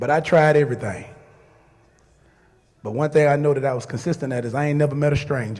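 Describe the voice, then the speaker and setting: A man speaks at a fairly quick pace in a fairly high, somewhat breathy voice, his intonation fairly even. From Louisiana (Shreveport). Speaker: radio personality. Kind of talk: speech to a crowd.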